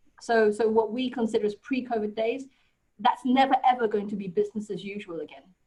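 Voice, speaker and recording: Very fast and somewhat breathy, a woman with a British accent speaks at a fairly high pitch in a dark, mellow tone, her intonation fairly even but her loudness swinging widely. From UK. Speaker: HR consultant, presenter. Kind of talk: webinar talk.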